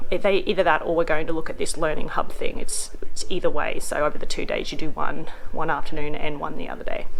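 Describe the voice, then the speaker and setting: A woman speaks quietly at a very fast pace with hardly any pauses. Noticeable background noise can be heard. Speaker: vlogger. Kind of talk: casual vlog talk to camera. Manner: quiet, hushed; hesitant, many fillers.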